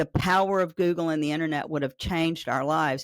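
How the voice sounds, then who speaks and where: With a Southern US accent, a woman with fairly low pitch speaks in an animated tone with ordinary pitch variation, in a very clean, dry, close recording with no echo and a silent background. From Arkansas, Pine Bluff. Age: 60s. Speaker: AI business owner, state task force member. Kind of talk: podcast interview.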